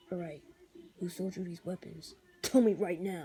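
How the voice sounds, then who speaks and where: In a put-on character voice, the speaker uses a middle pitch and a moderate pace. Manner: gruff, demanding.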